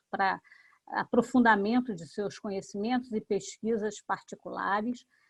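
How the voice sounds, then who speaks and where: A woman's medium-pitched, plain, everyday voice at a fairly slow pace, with ordinary pitch variation and a dry, close sound with no echo. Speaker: professor and seminar moderator. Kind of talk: academic seminar introduction.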